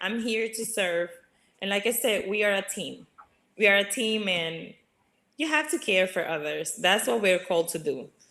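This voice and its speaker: With a Spanish accent, a woman talks at a moderate pace in a bright, sharp tone, her medium-pitched voice carrying lively intonation. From Dominican Republic. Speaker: regional sales director. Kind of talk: casual interview.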